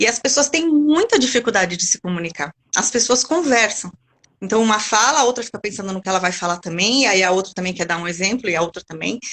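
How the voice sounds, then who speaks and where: Her intonation stays lively throughout. This woman speaks at a very fast pace. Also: fairly high pitch for a woman. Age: 40s. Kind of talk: interview chat.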